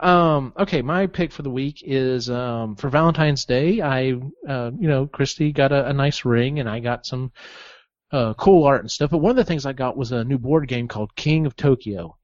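A man with an American accent has an ordinary speaking voice, a medium pitch and ordinary pitch variation at a moderate pace. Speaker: podcast host. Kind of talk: casual chat.

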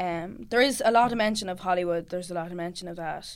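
A woman with a Cavan accent talks at a fairly quick pace. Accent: Irish, Cavan. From Ireland, County Cavan. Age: 20s. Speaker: singer-songwriter. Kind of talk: casual chat. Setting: studio.

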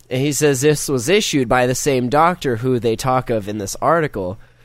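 A man speaks in an ordinary speaking voice at a moderate pace, with medium pitch and ordinary pitch variation. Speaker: podcast host. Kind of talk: casual chat.

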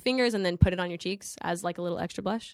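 A woman's medium-pitched voice with an American accent and ordinary pitch variation, in a very clean recording with a silent background. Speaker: actress. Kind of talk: casual chat.

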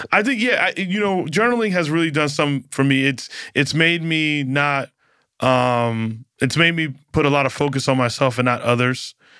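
A man with an ordinary speaking voice talks at a moderate pace and a fairly high pitch, with lively intonation and very even loudness. The recording is very clean, the background silent. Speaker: comedian. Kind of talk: casual chat. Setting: studio.

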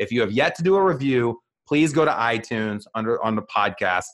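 A man's voice at a medium pitch. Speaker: real estate team leader and podcast host. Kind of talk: casual interview chat. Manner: fast talker.

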